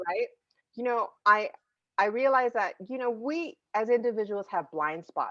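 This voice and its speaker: Bright, sharp tone with lively intonation at a fairly slow pace. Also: woman, fairly high pitch for a woman. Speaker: podcast host and makeup content creator. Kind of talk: casual chat. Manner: animated when talking with friends.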